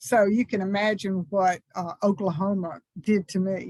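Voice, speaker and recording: Speaking very slowly with a Southern US accent, a woman with a medium-pitched, somewhat breathy voice and ordinary pitch variation is heard in a dry, close recording with no echo. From US South, small textile town. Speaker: minister. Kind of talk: talk to a congregation.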